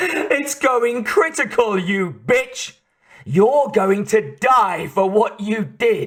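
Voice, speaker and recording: Putting on a character voice, a man speaks at a very slow pace in a high pitch with lively intonation. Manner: triumphant, menacing.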